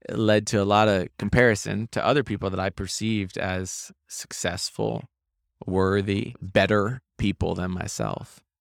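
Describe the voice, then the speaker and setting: Over a silent background in a very clean recording, a man with an American accent uses a plain, everyday voice, fairly low in pitch, fairly even in intonation and moderate in pace. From Maine, US. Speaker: real estate investor. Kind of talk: interview. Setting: event recording booth.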